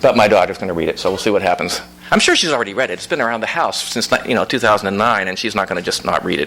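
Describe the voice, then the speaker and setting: Over noticeable background noise, a man with a slight Pittsburgh accent talks at a very fast pace and fairly low pitch. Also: ordinary pitch variation. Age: 60s. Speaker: author. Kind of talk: audience Q&A at book reading. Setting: bookstore event with audience.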